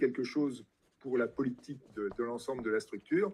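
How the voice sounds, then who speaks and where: A man speaks at a moderate pace in a dark, mellow tone. His pitch variation is ordinary. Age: 60s. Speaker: retired biology teacher and party president. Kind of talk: interview. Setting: live-streamed event with audience.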